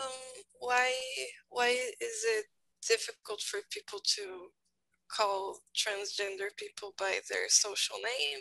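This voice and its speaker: Speaking very slowly with an accent of Brazilian Portuguese, a woman leaves long, frequent pauses. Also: dry, close sound with no echo. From Brazil, São Paulo. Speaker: English learner. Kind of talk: group discussion. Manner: halting.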